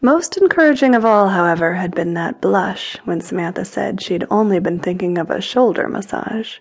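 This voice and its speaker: Barely pausing, a woman speaks in a plain, everyday voice at medium pitch with ordinary pitch variation. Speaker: audiobook narrator. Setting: studio. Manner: intimate, sensual, unhurried storytelling with a teasing, playful tone.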